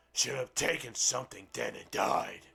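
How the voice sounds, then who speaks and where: A man performs a raspy, put-on character voice at a moderate pace. Faint music plays in the background. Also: medium pitch for a man. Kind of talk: comic storybook reading. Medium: game stream.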